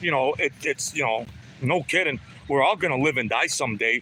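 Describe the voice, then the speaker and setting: A man speaks fairly quickly, his pitch varying in an ordinary way, while noticeable background noise runs underneath. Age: 60s. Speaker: livestreamer. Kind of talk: casual chat. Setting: outdoors.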